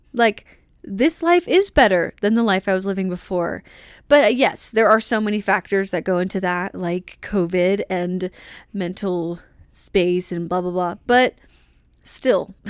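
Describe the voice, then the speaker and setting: At a fairly slow pace, a woman speaks with an energetic tone, a medium pitch, and ordinary pitch variation, in a dry, close sound with no echo on a very clean recording with a silent background. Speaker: solo podcast host. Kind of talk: casual solo podcast monologue.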